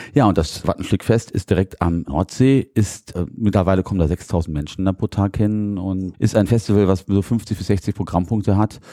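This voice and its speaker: A dark, mellow tone with ordinary pitch variation and hardly any pauses. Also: man, fairly low pitch for a man, moderate pace, dry, close sound with no echo. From Lower Rhine, Germany (Kleve, Moers). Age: 40s. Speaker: cultural centre director. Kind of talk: interview.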